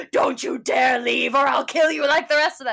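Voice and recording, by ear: Using a put-on character voice, a woman speaks at a moderate pace in a high pitch with a menacing tone.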